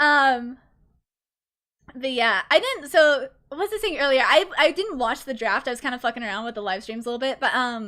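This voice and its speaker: High-pitched and bright, sharp in tone, a woman projects her raised voice at a moderate pace. Her intonation is lively and her tone animated. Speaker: vtuber streamer casting esports. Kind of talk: live commentary costream. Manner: slurs words sometimes.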